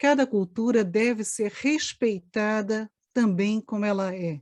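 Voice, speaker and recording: A woman with a dark, mellow tone and fairly high pitch speaks at a very slow pace. The sound is dry and close with no echo, and the background is quiet. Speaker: anthropologist. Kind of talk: panel discussion.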